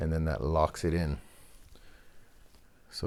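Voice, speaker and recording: The recording is very clean, with a silent background. A man with a very deep, low pitch talks in a relaxed tone at a moderate pace. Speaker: guitar repair youtuber. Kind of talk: tutorial. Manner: casual, relaxed.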